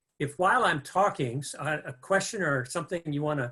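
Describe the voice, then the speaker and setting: A man with an Upper Midwest accent, fairly high in pitch with ordinary variation, at a moderate pace. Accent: Upper Midwest American. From Minnesota, Minneapolis area. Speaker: guest speaker. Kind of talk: webinar lecture. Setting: video call. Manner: halting, many fillers.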